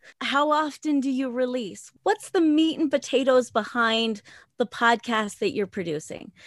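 In a quiet background with a dry, close sound and no echo, a woman speaks at a fairly slow pace, her high voice carrying lively intonation. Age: 40s. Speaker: podcaster and former exotic dancer. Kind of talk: interview conversation. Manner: laughs often.

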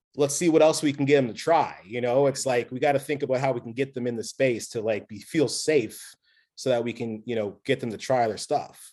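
Moving at a fairly quick pace, a man with an unremarkable speaking voice keeps his intonation fairly even. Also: medium pitch for a man. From Nova Scotia, Canada. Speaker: brewery owner. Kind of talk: casual interview. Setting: call.

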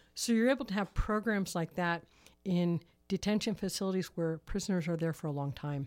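On a very clean recording with a silent background, a woman speaks in a plain, everyday voice. Her pitch is fairly low, with ordinary variation. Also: fairly quick pace. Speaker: prison ministry volunteer. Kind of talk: radio interview. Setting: studio.

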